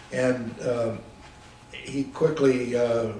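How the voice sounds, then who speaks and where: Noticeable background noise sits behind a man speaking in a flat, monotone way. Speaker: war veteran. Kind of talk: interview answer.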